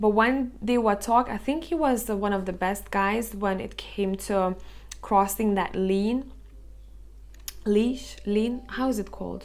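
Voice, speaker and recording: A woman speaks at a fairly slow pace in a non-native accent. Her pitch varies in an ordinary way. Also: medium pitch for a woman. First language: Lithuanian. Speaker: tarot reader. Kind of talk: tarot reading to camera. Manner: casual, filler-heavy.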